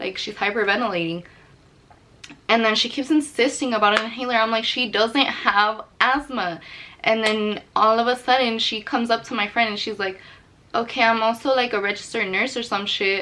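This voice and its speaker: Over noticeable background noise, a woman talks in an animated tone at a fairly high pitch. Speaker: YouTuber telling a story. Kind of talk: story time vlog. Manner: fast.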